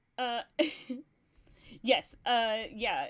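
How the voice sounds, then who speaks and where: Her voice has a fairly high pitch. The woman talks in an American accent. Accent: Texan, gets thicker when talking about Texas. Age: 30s. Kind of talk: casual livestream chat. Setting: livestream. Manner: animated.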